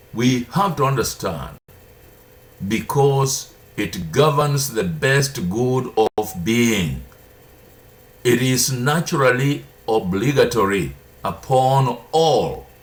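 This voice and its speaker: A man at a medium pitch speaks at a very slow pace, with long, frequent pauses. His intonation is lively, and the room echo is audible. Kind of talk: sermon-style teaching. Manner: deliberate.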